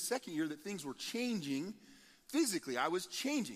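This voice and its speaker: This man talks with an American accent. His pitch is high and his pace fairly quick. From Nebraska, US Midwest. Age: 40s. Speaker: pastor. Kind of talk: sermon. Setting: church.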